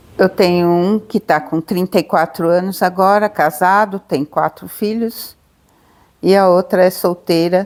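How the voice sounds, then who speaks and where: A woman talks very slowly in a medium-pitched voice. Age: 70s. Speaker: adoptive mother. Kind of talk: testimony. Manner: halting.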